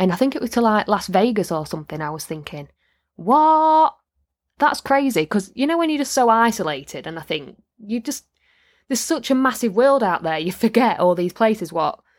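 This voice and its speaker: On a very clean recording with a silent background, a woman talks at a fairly quick pace with very wide pitch swings. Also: fairly high pitch for a woman. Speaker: podcast host and manifestation coach. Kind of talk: solo podcast monologue, casual and chatty. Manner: animated, enthusiastic.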